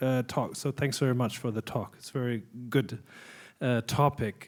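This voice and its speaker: The recording is very clean with a silent background as a man speaks at a moderate pace in a German accent. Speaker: conference audience member asking a question. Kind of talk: audience question at a conference Q&A. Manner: halting.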